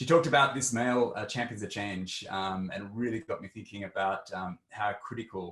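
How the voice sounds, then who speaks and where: This man has an Australian accent. He moves along at a fairly quick pace. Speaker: tech executive. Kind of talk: panel discussion.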